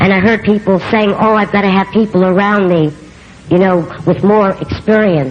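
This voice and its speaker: A woman with a strong New York accent at a moderate pace and medium pitch, with very even loudness, fairly even intonation and noticeable background noise. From New York City. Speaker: recovery speaker. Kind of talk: recovery testimony. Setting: convention stage with audience.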